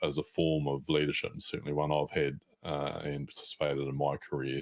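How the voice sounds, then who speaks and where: A man speaks with a New Zealand accent and a very deep, low pitch. His intonation is monotone and flat. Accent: New Zealand, mistaken for Australian. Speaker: podcast host. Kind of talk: podcast interview.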